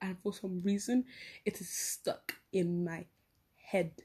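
A woman speaks at medium pitch with a dark, mellow tone. Her voice is somewhat breathy, and her intonation stays fairly even. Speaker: podcaster. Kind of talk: casual chat. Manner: rambling, halting with fillers.

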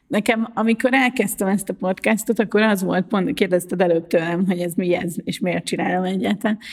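Speaking at a moderate pace with hardly any pauses, a woman at a medium pitch has an unremarkable speaking voice and ordinary pitch variation. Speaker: podcast host, journalist and wheelchair user. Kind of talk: casual chat.

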